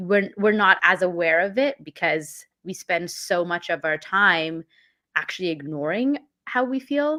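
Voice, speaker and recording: Her tone comes across bright and sharp. The woman's pitch is medium. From Canada, born in London. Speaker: mindfulness and emotional intelligence coach. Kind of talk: casual interview.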